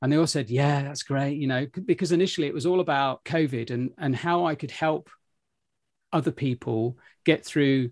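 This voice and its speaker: A man with a British accent talks at a fairly high pitch and moderate pace, with ordinary pitch variation. The background is quiet, and the sound is dry and close with no echo. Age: 50s. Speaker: podcast host and travel entrepreneur. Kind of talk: interview conversation.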